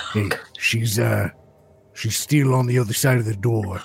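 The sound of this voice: A man performs a booming, put-on character voice at a medium pitch and a moderate pace.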